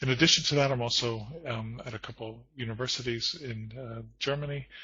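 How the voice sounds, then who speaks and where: A man with an American accent and a medium pitch speaks at a moderate pace with fairly even intonation, in a normal speaking voice. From United States. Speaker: corporate trainer and lecturer. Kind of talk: conference presentation.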